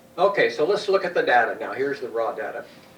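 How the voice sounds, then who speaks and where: Noticeable background noise fills the clip. Room echo is audible too. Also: man. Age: 70s. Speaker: lecturer on peptides. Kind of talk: lecture. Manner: halting.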